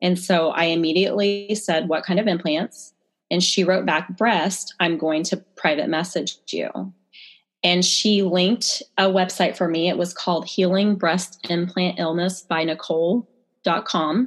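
A woman talks in an unremarkable speaking voice at a fairly low pitch and fairly slow pace, with fairly even intonation and very even loudness. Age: 30s. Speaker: chiropractor. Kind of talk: interview.

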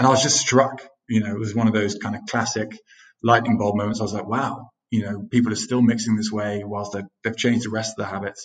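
A man talks at a very fast pace and a medium pitch. His intonation is flat and monotone. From UK. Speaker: cocktail mixer co-founder, former consultant. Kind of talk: interview conversation.

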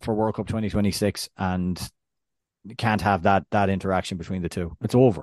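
In an Irish accent, a man with a fairly low pitch talks with fairly even intonation, in a dry, close sound with no echo and a quiet background. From Ireland. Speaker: soccer podcast co-host. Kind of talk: casual chat.

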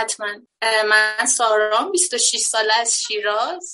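Her voice bright and sharp in tone, a woman speaks at a fairly high pitch. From Iran, Shiraz. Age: 20s. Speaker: event venue founder. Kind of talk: casual chat.

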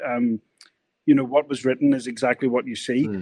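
A man speaks in a Northern Irish accent. His intonation is lively. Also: dry, close sound with no echo. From Northern Ireland. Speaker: screenwriter and producer, former journalist. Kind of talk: casual interview chat.

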